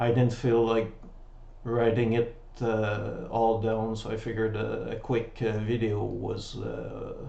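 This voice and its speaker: A man in a French accent at a fairly slow pace, amid audible room echo. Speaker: website founder. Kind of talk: tutorial. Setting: webcam recording at home. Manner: halting.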